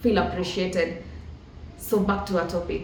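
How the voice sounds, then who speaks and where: Amid noticeable background noise and audible room echo, a woman with a Kenyan accent speaks with ordinary pitch variation. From rural Kenya. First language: Kikuyu. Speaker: motivational podcast host. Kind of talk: motivational talk.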